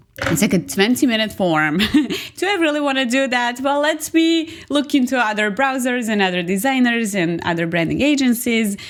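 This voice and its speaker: High-pitched woman with a Serbian accent, very wide pitch swings, very even loudness and a moderate pace, over noticeable background noise. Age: 30s. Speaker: agency owner and graphic designer. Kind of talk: podcast interview.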